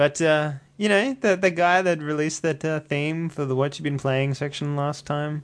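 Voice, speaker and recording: Over a quiet background, a man with an Australian accent talks at a moderate pace, his fairly high pitch carrying fairly even intonation. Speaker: podcast host and media editor. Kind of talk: casual chat. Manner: jokey, laughs often.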